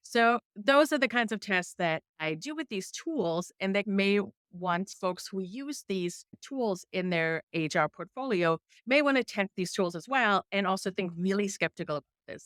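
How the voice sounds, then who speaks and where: A woman with a strong German accent speaks at a medium pitch with lively intonation. The recording is very clean with a silent background and a dry, close sound with no echo. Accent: thick German. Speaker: investigative journalist. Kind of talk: interview.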